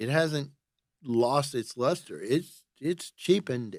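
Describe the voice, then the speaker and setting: A man's unremarkable speaking voice, fairly high, fairly slow, with lively intonation. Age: 60s. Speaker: photographer.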